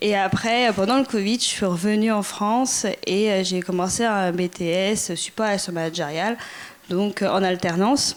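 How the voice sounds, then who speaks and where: Over noticeable background noise, a woman of medium pitch talks at a fairly slow pace with ordinary pitch variation and very even loudness. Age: 20s. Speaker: former volunteer. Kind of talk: testimony.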